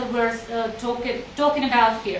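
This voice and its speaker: A woman's fairly even intonation can be heard against noticeable background noise. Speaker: college representative. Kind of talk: live stream chat.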